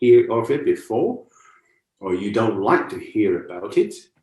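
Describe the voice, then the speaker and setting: The speaker has a Cantonese accent. The pace is moderate. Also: man. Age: 60s. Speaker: martial arts and meditation teacher. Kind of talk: lecture. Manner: conversational, with repeated rhetorical questions.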